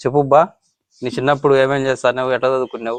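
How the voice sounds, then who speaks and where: A man's ordinary speaking voice at a medium pitch. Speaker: vlogger. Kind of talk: casual interview questions to camera.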